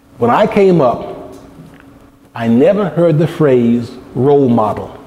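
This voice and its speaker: A man talks very slowly, with audible room echo and noticeable background noise around him. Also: fairly high pitch for a man, lively intonation. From United States. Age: 60s. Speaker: lecturer. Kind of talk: lecture.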